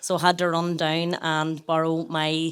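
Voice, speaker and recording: A woman with a fairly low pitch speaks in a Northern Irish accent on a very clean recording with a silent background. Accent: rural Tyrone. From Northern Ireland, rural County Tyrone. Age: 30s. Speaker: wellbeing brand founder and former teacher. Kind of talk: live podcast interview. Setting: stage with live audience.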